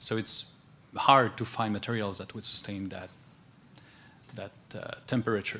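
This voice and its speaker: With a Quebec accent, a man speaks at a moderate pace in a fairly low, monotone, flat voice, with long, frequent pauses, big swings in loudness and noticeable background noise. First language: French. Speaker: transportation agency staff. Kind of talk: conference self-introduction.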